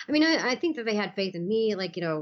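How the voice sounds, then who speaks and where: Talking at a very fast pace, a woman makes very wide pitch swings. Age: 50s. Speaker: MMA promotion president. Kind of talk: interview. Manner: halting, many fillers.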